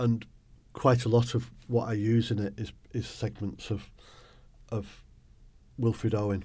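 The voice is dark, mellow and somewhat breathy, moving at a fairly slow pace with fairly even intonation and long, frequent pauses. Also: man, medium pitch for a man. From northern England, Bolton, Lancashire. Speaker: poet. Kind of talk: interview.

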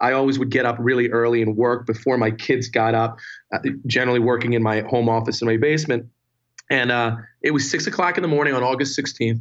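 A man with a New Jersey accent talks at a very fast pace. His loudness stays very even. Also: medium pitch for a man, fairly even intonation. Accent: New Jersey American. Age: 40s. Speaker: entrepreneur. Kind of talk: casual interview conversation.

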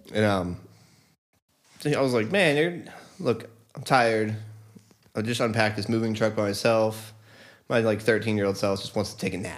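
A man with an American accent speaks at a moderate pace in a fairly low voice with ordinary pitch variation. Long, frequent pauses break up his speech, and audible room echo is present. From Delaware, US. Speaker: musician. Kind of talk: casual chat.

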